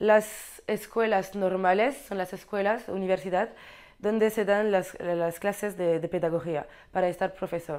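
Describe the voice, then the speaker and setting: Against a quiet background, a woman with a French accent speaks fairly slowly at a medium pitch with fairly even intonation. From Belgium (French-speaking, Brabant Wallon); Belgium. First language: French (speaking Spanish). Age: 20s. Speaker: exchange student in teacher training. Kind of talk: informational talk to camera. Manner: halting, with repetitions. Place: office.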